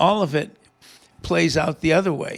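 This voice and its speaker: Talking fairly slowly, the man has a high pitch. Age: 70s. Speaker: retired government official and Vietnam veteran. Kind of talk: casual chat. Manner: halting, many repetitions.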